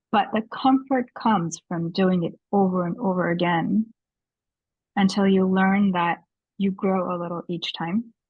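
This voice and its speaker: A woman with a medium-pitched, somewhat breathy voice talks with fairly even intonation. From western India (Gujarat). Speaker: leadership coach. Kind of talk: podcast interview.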